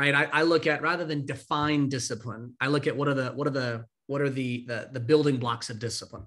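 A man talks in a plain, everyday voice at a fairly quick pace, with hardly any pauses. His pitch is fairly high, his intonation fairly even, and the background is quiet. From California. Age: 30s. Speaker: discipline coach and founder of a daily email; discipline coach. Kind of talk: interview. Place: home room.

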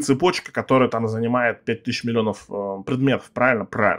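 This is a man with a medium pitch. The background is quiet. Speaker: gaming youtuber. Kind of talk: gameplay commentary. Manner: casual, rambling with filler words. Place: home room.

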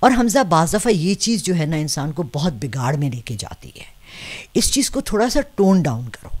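A somewhat breathy woman's voice, fairly low and fairly slow, with very wide pitch swings and big swings in loudness. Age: 60s. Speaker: astro palmist; interviewee. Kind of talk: interview. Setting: seated in front of camera. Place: home room. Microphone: handheld.

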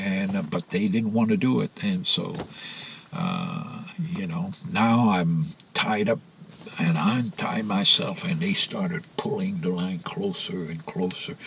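The speaker's pitch swings very widely. Noticeable background noise runs underneath. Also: man, medium pitch for a man, fairly slow pace. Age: 80s+. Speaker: sailor. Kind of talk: interview answer.

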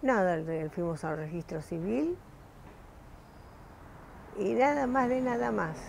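A woman speaks very slowly with long, frequent pauses, her fairly low voice swinging very widely in pitch over light background noise. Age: 80s+. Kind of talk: interview answer. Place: home room. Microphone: lapel.

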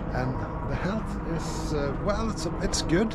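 A man is talking. Loud background noise runs behind him. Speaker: solo sailor vlogger. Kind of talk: casual vlog chat. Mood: upbeat, determined. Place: waterside. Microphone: phone near.

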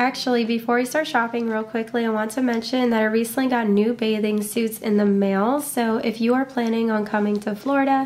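A woman speaks at a fairly quick pace. Her intonation is monotone and flat, her loudness very even. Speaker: shopping vlogger. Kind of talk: casual vlog chat. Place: home room. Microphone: phone near.

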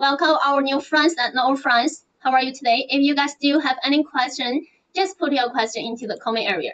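A woman's high voice at a fairly quick pace. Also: ordinary pitch variation. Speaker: presenter. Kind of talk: livestream product presentation. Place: home room. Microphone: earbuds.

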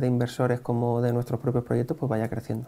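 The speaker is male. His voice has a dark, mellow tone. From Spain, Elche (Valencian Community); Valencian Community, Spain. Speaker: real estate investor; interview guest. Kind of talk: interview. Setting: in person. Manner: hesitant, many fillers. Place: cafe. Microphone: lapel.

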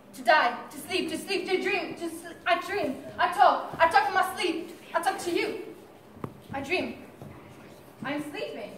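A woman speaks at an extremely high pitch with ordinary pitch variation and big swings in loudness. Her pace is very slow with long, frequent pauses, over light background noise and audible room echo. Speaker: stage actor. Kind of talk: theatrical monologue and dialogue. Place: stage. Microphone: camera far.

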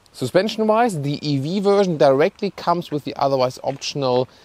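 Delivered at a moderate pace, the voice sounds dry, with no echo at all. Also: man. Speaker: car reviewer. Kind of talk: car review presentation. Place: street.

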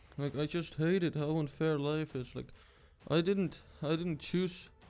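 Speaking at a fairly slow pace, a man is heard over music in the background. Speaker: gaming youtuber. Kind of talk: gameplay commentary. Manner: soft-spoken.

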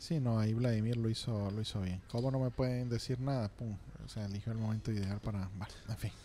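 Fairly quick and with fairly even intonation, a man at medium pitch talks in a dark, mellow tone over light background noise. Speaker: radio host. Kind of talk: casual chat. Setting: studio. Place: studio. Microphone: studio mic.

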